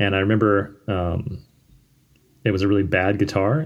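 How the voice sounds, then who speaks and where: A man's fairly low voice, an unremarkable speaking voice, with ordinary pitch variation. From Virginia (Richmond, Fredericksburg). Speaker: musician. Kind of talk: casual chat.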